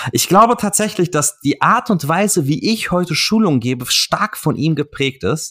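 In a very clean recording with a silent background, a man talks in a high, bright and sharp voice with lively intonation. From Offenbach, Hesse, Germany. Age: 30s. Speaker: podcast host, fitness marketing agency owner. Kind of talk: casual interview chat.

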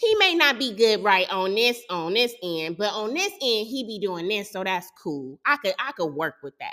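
A woman's fairly high voice with an animated tone, very wide pitch swings and a moderate pace, with hardly any pauses. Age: 30s. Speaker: podcast host. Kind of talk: casual monologue.

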